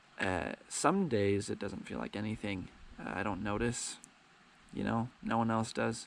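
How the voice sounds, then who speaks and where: With vocal fry and a fairly low pitch, a man talks at a fairly slow pace with ordinary pitch variation and long, frequent pauses. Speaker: vlogger. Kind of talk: personal vlog monologue. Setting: outdoors by the ocean. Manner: halting, hesitant with fillers.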